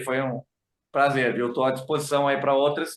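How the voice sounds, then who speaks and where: A man's fairly high voice with a southern Brazilian accent, moving at a moderate pace. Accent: gaúcho accent, returning. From Rio Grande do Sul, Brazil. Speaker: journalist. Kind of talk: casual chat.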